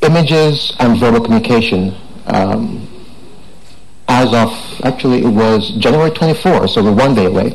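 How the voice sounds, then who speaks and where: Against noticeable background noise and audible room echo, a man at medium pitch speaks with long, frequent pauses, very even loudness and ordinary pitch variation. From Jamaica. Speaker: tech entrepreneur speaker. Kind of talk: conference talk. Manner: fast.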